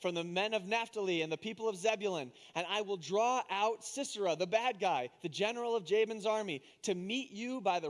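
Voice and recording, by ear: The pitch varies in an ordinary way. The delivery is reading aloud in a natural voice.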